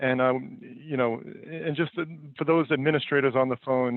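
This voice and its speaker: A man's medium-pitched voice with fairly even intonation and a New York accent. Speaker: company founder and CEO presenting a webinar. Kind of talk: webinar presentation. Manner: many fillers and repetitions.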